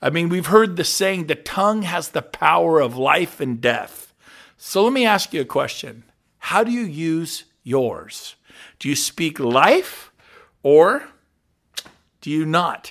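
A man's high-pitched, very slow speech with lively intonation and long, frequent pauses, on a very clean recording with a silent background. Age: 50s. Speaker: podcast host, real estate leader. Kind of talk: motivational talk.

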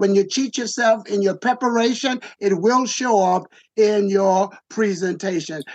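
A man speaks at a moderate pace. His pitch varies in an ordinary way.

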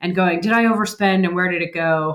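A woman talks at a very fast pace. Her medium pitch shows ordinary pitch variation. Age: 30s. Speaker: financial advisor. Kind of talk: interview.

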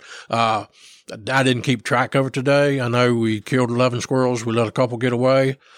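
With an Appalachian accent, a man at a medium pitch speaks at a fairly quick pace in a monotone, flat way, his loudness very even, on a very clean, dry, close recording with a silent background and no echo. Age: 60s. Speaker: squirrel dog trainer. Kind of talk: casual chat.

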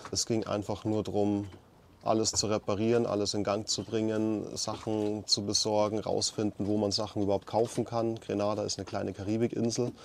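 At a fairly quick pace, a man talks with a fairly low pitch and monotone, flat intonation. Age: 30s. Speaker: podcast host, electrical engineer. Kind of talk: casual chat. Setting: on a sailboat.

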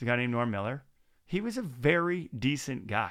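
A man speaks in an ordinary speaking voice at medium pitch and a moderate pace, with lively intonation, on a very clean recording with a silent background. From Maritimes, Canada. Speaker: podcast host. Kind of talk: casual interview chat. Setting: studio.

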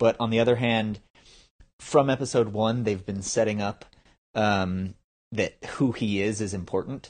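In a quiet setting, a man speaks fairly slowly at a fairly low pitch with fairly even intonation and long, frequent pauses. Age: 30s. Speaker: filmmaker. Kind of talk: casual chat.

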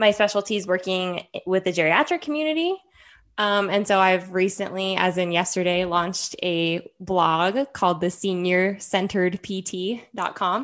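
An ordinary speaking voice, a woman's, with a General American accent moves at a moderate pace with medium pitch and ordinary pitch variation. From Henderson, Nevada, US. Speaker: podcast co-host, physical therapist. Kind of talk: casual chat.

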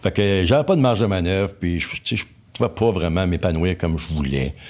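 A man with a very deep, low voice talks over noticeable background noise. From Quebec, Laurentides (Pointe-Calumet). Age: 60s. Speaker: engineer. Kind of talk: casual interview. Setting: studio.

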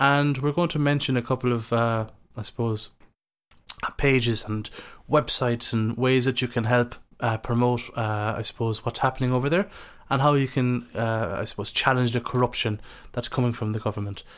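In a very clean recording with a silent background, a man with an Irish accent speaks at a moderate pace. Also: medium pitch for a man. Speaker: podcast host. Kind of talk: casual interview.

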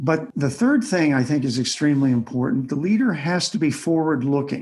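Speaking with an American accent, a man uses a fairly high, somewhat breathy voice and lively intonation at a moderate pace. The background is quiet. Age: 70s. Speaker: author and retired army officer, leadership consultant. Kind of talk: interview.

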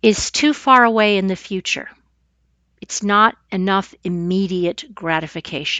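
Speaking at a fairly slow pace, a woman uses an unremarkable speaking voice at a medium pitch with ordinary pitch variation. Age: 50s. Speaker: podcast host and massage therapist. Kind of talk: solo podcast monologue.

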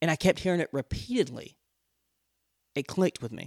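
A man's fairly high voice with vocal fry and an animated tone. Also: dry, close sound with no echo. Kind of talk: personal storytelling with faith encouragement. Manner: fast talker; animated, humorous.

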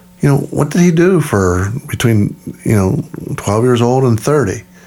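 A man speaks with lively intonation. Noticeable background noise runs under his voice. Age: 60s. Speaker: podcast host, missionary. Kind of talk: casual chat.

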